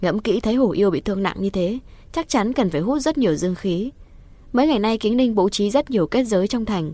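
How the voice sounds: The voice here is a natural reading voice. Text is read in this way from start to finish.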